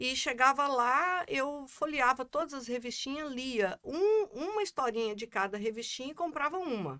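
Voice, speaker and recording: Using a Goiás accent, a woman speaks at a fairly slow pace in a bright, sharp tone with high pitch and very wide pitch swings. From Brazil, Goiás (Goiânia). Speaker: economist and constellation coordinator. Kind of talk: casual chat.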